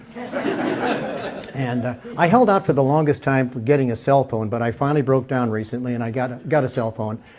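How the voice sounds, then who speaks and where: A man of medium pitch talks with an American accent against noticeable background noise. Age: 70s. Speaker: stand-up comedian. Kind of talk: stand-up. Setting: stage with audience. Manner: halting.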